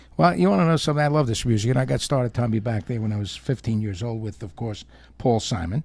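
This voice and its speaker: A man with a New York accent talks at a very fast pace and a medium pitch, his voice somewhat breathy. His intonation is lively, and the recording is very clean with a silent background. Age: 60s. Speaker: oldies radio host. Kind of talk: casual chat. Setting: studio.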